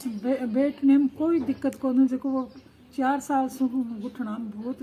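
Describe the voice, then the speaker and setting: Background noise is noticeable here. Over it, a woman talks with a high-pitched voice. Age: 60s. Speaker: meditation course participant. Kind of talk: interview testimony.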